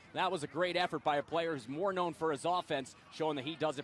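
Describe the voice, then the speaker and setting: A man speaks at a fairly high pitch and a fairly quick pace. His intonation is lively, and there is noticeable background noise. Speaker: football color commentator. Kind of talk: live sports color commentary, TV broadcast.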